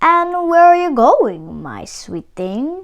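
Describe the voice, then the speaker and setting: Using a put-on character voice, a woman speaks at an extremely high pitch. Her pace is very slow. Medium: read story. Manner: smooth, charming.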